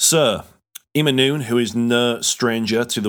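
A man speaks in a Yorkshire accent with ordinary pitch variation. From Yorkshire, England. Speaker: podcast host. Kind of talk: casual podcast chat.

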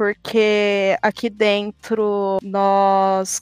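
Recorded close and dry with no echo at all, the audio carries one voice. It belongs to a woman. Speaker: designer in esports. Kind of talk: casual chat.

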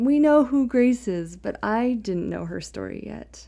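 Against a quiet background, the talking unfolds fairly slowly. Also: woman. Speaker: family history podcast host. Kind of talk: casual narration of family history.

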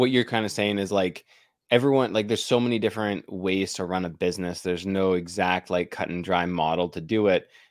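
Very deep and low, a man's voice moves at a fairly quick pace. The recording is very clean with a silent background. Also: ordinary pitch variation. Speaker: podcast host, painting business founder. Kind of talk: casual interview chat.

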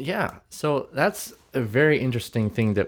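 Talking at a fairly slow pace, a man uses lively intonation. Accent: Canadian. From Manitoba, Canada. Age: 20s. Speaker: worship leader and podcast co-host. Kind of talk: casual chat.

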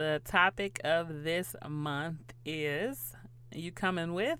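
A woman speaks loudly and with animation in a very deep, low voice that has a bright, sharp edge. Her pitch moves in an ordinary way, and the recording is very clean with a silent background. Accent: American. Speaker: podcast host. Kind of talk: casual solo chat. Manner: animated.

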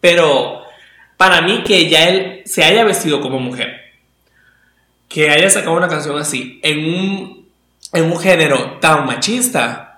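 At a very slow pace with long, frequent pauses, the speaker uses ordinary pitch variation and has a slight Maracaibo accent. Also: man, high pitch for a man. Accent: slight Venezuelan Maracaibo. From Venezuela, Maracaibo. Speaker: podcast host. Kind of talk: casual chat.

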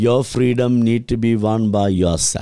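Dark, mellow tone from a man at a mid-range pitch. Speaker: pastor and charity founder. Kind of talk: interview.

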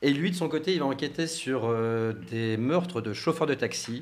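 Lively intonation marks this man's moderately paced speech. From Portuguese background. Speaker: novelist and former film journalist. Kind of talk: radio interview. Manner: hesitant, many fillers.

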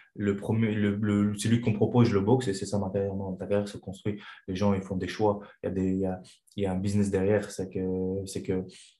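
A man speaks at a fairly low pitch in a dark, mellow tone with monotone, flat intonation. Audible room echo surrounds his voice. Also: moderate pace. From Chechnya. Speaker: kickboxing coach and former fighter. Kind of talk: interview. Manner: halting.

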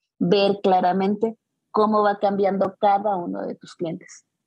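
A woman with a Mexican accent, dark and mellow in tone, monotone and flat, at a fairly slow pace. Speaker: personal fitness trainer. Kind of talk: casual interview.

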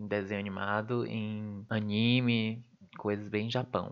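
A man talks fairly slowly, and the background behind him is quiet. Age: 20s. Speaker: podcast host, university student. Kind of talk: solo podcast monologue. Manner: casual, laughing asides.

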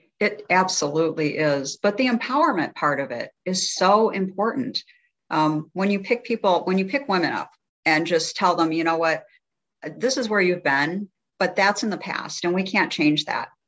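In an ordinary speaking voice, a woman talks at a moderate pace. Her pitch is medium and her intonation lively. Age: 60s. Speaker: health coach. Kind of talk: casual chat.

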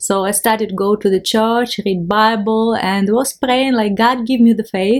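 A woman speaks with a Ukrainian accent at a moderate pace, with hardly any pauses. Her loudness stays very even and her intonation fairly even. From Ukraine. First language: Ukrainian or Russian. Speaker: missionary and art festival organizer. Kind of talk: interview testimony. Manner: halting.

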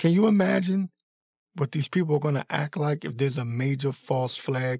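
In an American accent, a man speaks at a fairly quick pace with a fairly high pitch, ordinary pitch variation, a somewhat breathy and animated tone, and a dry, close sound with no echo. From Washington, D.C. area. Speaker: political commentary podcaster. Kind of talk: opinion monologue.

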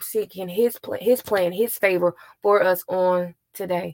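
In a dry, close sound with no echo, a woman has a plain, everyday voice at medium pitch with fairly even intonation. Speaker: co-pastor hosting prayer. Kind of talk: prayer session hosting and closing blessing. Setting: live online prayer session.

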